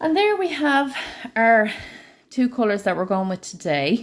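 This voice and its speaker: Speaking with an Irish accent, a woman talks at a moderate pace. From Ireland. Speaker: nail art educator. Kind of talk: live tutorial. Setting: live stream.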